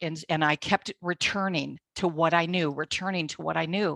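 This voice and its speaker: In a dry, close recording with no echo, a woman speaks at a fairly low pitch with ordinary pitch variation. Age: 60s. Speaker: bible teacher. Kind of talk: testimony. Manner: animated.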